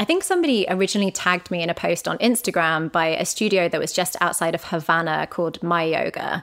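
A woman with a British accent speaks very fast in a fairly low pitch, with fairly even intonation and hardly any pauses. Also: very clean recording, silent background. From Britain. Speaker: travel journalist and podcast host. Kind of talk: casual interview chat.

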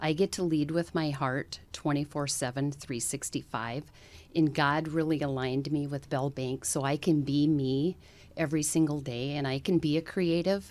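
A woman with a North Dakota accent talks in a very deep, low voice. Her intonation is fairly even, and the recording is very clean with a silent background. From North Dakota, US. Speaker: bank executive. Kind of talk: interview.

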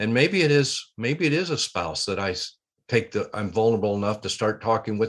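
Against a quiet background, a man with a fairly low pitch speaks at a fairly quick pace with ordinary pitch variation. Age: 60s. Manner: thoughtful, somewhat halting.

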